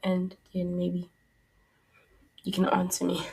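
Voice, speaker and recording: At a fairly slow pace, a woman of medium pitch sounds somewhat breathy, with ordinary pitch variation. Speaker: podcast host. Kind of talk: solo podcast monologue.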